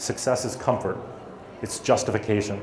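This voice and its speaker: Audible room echo and noticeable background noise surround this recording. A man with an American accent talks at a fairly quick pace. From USA. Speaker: startup founder and motivational speaker. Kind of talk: motivational talk. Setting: stage with audience.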